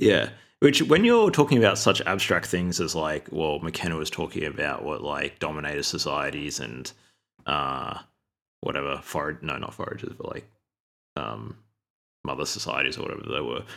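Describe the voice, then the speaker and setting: A man with a very deep, low pitch and vocal fry speaks with ordinary pitch variation and big swings in loudness. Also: moderate pace. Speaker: podcast co-host. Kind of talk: casual book discussion. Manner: halting, many fillers.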